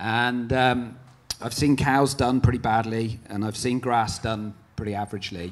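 Speaking at a moderate speed, the man keeps his intonation fairly even. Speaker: dairy farmer; speaker. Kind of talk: conference panel talk. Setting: stage with audience. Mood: earnest, reflective. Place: hall. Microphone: handheld.

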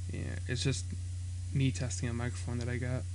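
A man talks with a fairly low pitch. His voice is somewhat breathy, with light background noise behind it. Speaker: gaming vlogger. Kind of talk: casual commentary.

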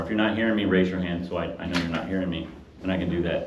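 Amid noticeable background noise and audible room echo, a man with a very deep, low pitch talks at a very fast pace. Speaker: Bible study teacher. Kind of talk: lecture. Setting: room with live audience. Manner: fast when excited; animated.

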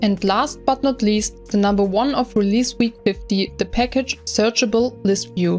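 Music plays in the background as a woman speaks at a moderate pace. She barely pauses, and her loudness stays very even. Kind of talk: tech news roundup narration.

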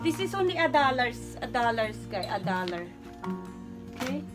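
A woman talks at a moderate pace. Clear music sits behind her voice. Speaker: vlogger. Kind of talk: casual vlog chat. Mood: excited, then annoyed. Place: garage. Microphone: phone near.

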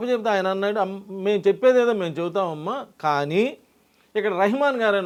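A man's high pitch and lively intonation over a quiet background. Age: 60s. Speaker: numerologist. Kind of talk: interview.

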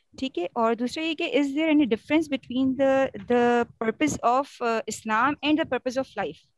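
A woman speaks with a high pitch for a woman and ordinary pitch variation, taking hardly any pauses. The sound is dry and close with no echo. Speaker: audience member asking a question. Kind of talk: question in a live online session. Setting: video call.

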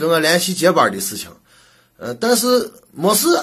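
A man with a Shaanxi accent speaks at a moderate pace in a high voice, his pitch varying in an ordinary way. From Shaanxi, China. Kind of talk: comedic monologue to camera.

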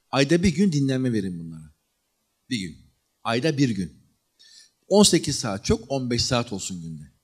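A man at a fairly slow pace, with very wide pitch swings, big swings in loudness and long, frequent pauses, over a quiet background. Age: 40s. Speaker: history lecturer. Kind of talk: lecture. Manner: animated. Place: hall. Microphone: handheld.

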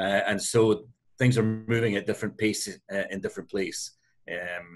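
A man with an American accent, fairly low in pitch, at a moderate pace with fairly even intonation and noticeable background noise. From US Northeast. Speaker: hotel company executive; panelist. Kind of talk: webinar panel answer. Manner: hesitant, many fillers. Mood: friendly, light. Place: office. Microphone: video call.

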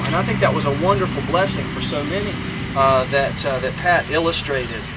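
Music plays behind a man speaking. He goes at a fairly quick pace with ordinary pitch variation. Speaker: minister officiating a funeral. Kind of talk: funeral sermon. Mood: gentle, solemn, comforting. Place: open country. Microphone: camera far.

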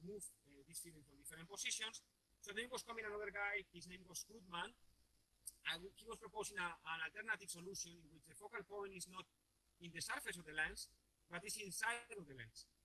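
Raising and projecting his voice, a man talks at a very fast pace and a high pitch, his tone bright and sharp, with big swings in loudness and ordinary pitch variation. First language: Spanish. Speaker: professor. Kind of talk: lecture. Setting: video call. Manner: hesitant with fillers.

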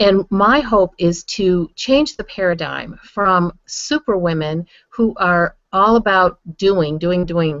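Over a quiet background, a woman's voice comes through dry, with no echo. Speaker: online show host. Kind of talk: host introduction monologue. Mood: warm and upbeat. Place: home room. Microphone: webcam.

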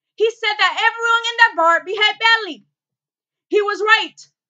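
Against a quiet background, a woman with an extremely high voice speaks at a moderate pace with ordinary pitch variation. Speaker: actor doing an audition monologue. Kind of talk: dramatic monologue, courtroom closing argument. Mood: intense, indignant. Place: home room. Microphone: webcam.

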